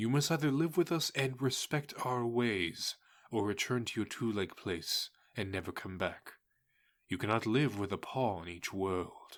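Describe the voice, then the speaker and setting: A man's put-on character voice at a medium pitch and moderate pace, on a very clean recording with a silent background. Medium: audio drama. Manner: firm, steady.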